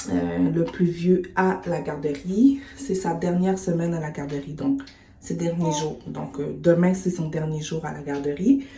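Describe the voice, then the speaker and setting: Over noticeable background noise, a woman with a Quebec accent talks at a fairly slow pace and fairly low pitch, with lively intonation and big swings in loudness. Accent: Québécois French. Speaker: vlogger, mother. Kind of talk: casual vlog. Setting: at home. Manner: soft-spoken, whispering; hesitant, many fillers.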